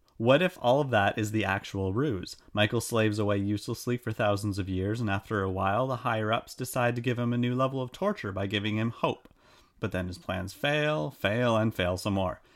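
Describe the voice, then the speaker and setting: Speaking at a fairly quick pace with hardly any pauses, a man uses an unremarkable speaking voice, fairly low in pitch with ordinary pitch variation. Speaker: podcast host. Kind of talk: casual chat.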